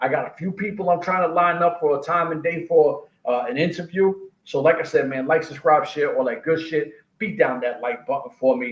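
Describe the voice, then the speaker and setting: With a New York accent, a man talks at a moderate pace in a fairly high pitch and an animated tone. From New York City (Queens). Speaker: combat sports podcast host. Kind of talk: casual monologue podcast.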